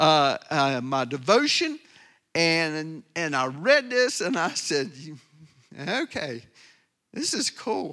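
A man uses a raised, projected voice with a bright, sharp tone at a very slow pace. The recording is very clean, with a silent background. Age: 60s. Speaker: pastor. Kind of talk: sermon. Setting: church. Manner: animated.

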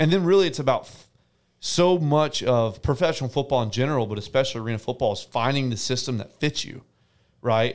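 A man with an American accent, an ordinary speaking voice at medium pitch and a fairly quick pace, in a very clean recording with a silent background. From US South, Tennessee (near Nashville). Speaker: professional arena football quarterback. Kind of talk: casual interview.

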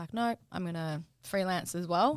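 A woman speaks with an Australian accent at a fairly low pitch. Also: very clean recording, silent background. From Brisbane, Australia. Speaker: registered nurse and cosmetic injector, podcast co-host. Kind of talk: casual chat.

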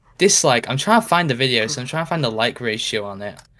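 With a British accent, a man speaks in a fairly high pitch on a very clean recording with a silent background. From Britain. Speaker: YouTuber. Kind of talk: casual chat. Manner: deadpan.

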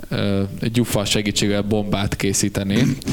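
A man speaks with a fairly low pitch and fairly even intonation. His pace is very slow. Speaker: band member and podcast host. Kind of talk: casual chat.

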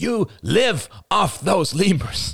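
A man does a put-on character voice with a high pitch, big pitch swings and a fairly bright tone. He goes at a slow pace, with a slightly husky edge and vocal fry.

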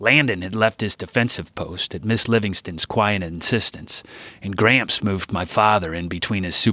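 This recording is plain reading aloud.

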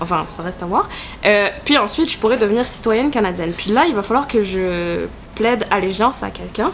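Over music in the background, a woman talks fairly quickly at a medium pitch with lively intonation. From southern France. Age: 20s. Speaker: podcast co-host. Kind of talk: casual chat about politics.

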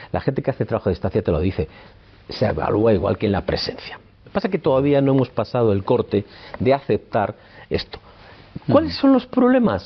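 At a fairly quick pace, a man speaks at a medium pitch, somewhat breathy, with lively intonation and long, frequent pauses. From Spain, Palencia (Castile). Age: 60s. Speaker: psychoanalyst. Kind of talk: interview. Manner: hesitant, with fillers.

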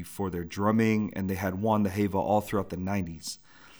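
With an American accent, a man speaks at a fairly quick pace on a very clean recording against a silent background. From US West Coast, San Francisco Bay Area. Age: 30s. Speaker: podcast host, educator. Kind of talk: personal storytelling monologue. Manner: casual, with filler words.

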